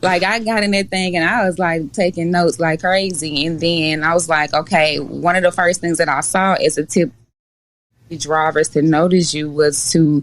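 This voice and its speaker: At a moderate pace, a woman with a Mississippi accent speaks in a fairly low pitch. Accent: Southern US (Mississippi). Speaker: dispatch company owner. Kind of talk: podcast interview. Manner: animated.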